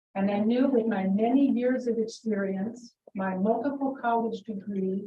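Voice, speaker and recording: Here a woman talks at a moderate pace with fairly even intonation. Her voice is somewhat breathy. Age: 60s. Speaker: school superintendent. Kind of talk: public meeting statement.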